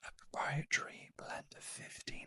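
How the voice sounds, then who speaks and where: A man whispers, the sound dry and close with no echo. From United Kingdom. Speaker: beauty reviewer and trained beauty therapist. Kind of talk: ASMR unboxing and product review. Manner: whispered, soft-spoken.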